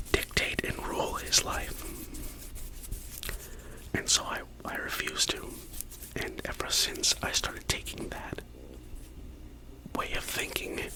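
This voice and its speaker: A man whispers, leaving long, frequent pauses. Noticeable background noise is present. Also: fairly slow pace. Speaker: ASMR content creator. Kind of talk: whisper ramble to camera about favorite ASMR artists. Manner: whispered, soft-spoken.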